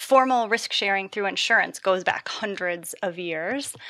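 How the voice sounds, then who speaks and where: In a very clean, dry, close recording with no echo and a silent background, a woman with a General American accent speaks at medium pitch and a moderate pace, with ordinary pitch variation and a bright, sharp tone. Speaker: environmental economist. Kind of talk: panel discussion.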